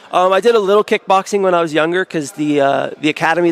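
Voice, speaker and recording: A man with an American accent at a very fast pace, ordinary pitch variation, a dry, close sound with no echo, and noticeable background noise. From United States. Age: 20s. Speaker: professional grappler. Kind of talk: interview.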